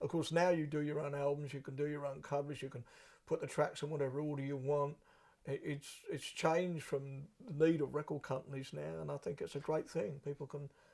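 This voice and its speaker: A somewhat breathy man speaks fairly quickly in a fairly high voice with flat, monotone intonation. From southern England. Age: 60s. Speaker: blues musician. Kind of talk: interview.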